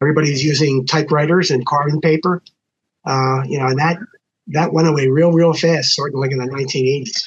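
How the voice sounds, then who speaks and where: A man with an American accent, fairly high-pitched and somewhat breathy, talking very fast. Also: fairly even intonation. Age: 70s. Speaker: lawyer, former bar association president. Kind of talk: casual podcast conversation. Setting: podcast recording.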